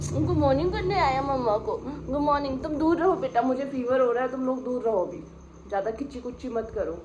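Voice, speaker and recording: A woman's high-pitched voice at a fairly slow pace, with very wide pitch swings, audible room echo and noticeable background noise. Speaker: pet vlogger. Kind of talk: casual vlog. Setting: at home, then outdoors. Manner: speaking loudly to be heard.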